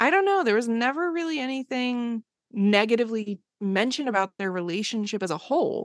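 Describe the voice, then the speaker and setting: Using an unremarkable speaking voice, a woman with an American accent talks at a fairly quick pace and fairly high pitch with lively intonation, the sound dry and close with no echo against a quiet background. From US Northeast, Bucks County near Philadelphia. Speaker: comedian and horror filmmaker. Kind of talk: casual chat.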